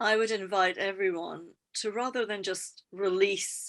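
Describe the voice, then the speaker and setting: A woman with a Scottish accent speaks at a fairly slow pace in a medium pitch. Her intonation is fairly even, and the recording is very clean with a silent background. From Scotland. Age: 50s. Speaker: EFT practitioner and trainer. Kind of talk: podcast interview.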